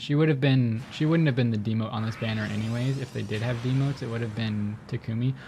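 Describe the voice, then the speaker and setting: A man speaks quietly with music in the background. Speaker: gaming YouTuber. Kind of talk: gameplay commentary. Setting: home recording late at night.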